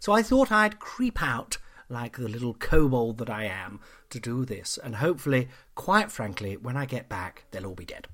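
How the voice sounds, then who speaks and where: Over a silent background on a very clean recording, a man talks at a moderate pace in an animated, theatrical tone, with very wide pitch swings and big jumps in loudness. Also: medium pitch for a man. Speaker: comedian and podcast host. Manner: chatty, self-interrupting, digressive, with laughs at her own jokes.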